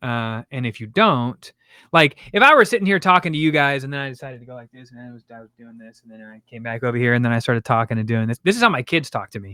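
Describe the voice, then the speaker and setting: The speaker rushes along very fast with hardly any pauses, lively intonation, a bright, sharp tone and big swings in loudness, in a dry, close sound with no echo on a very clean recording with a silent background. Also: man, medium pitch for a man. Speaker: content creation coach and streamer. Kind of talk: casual chat.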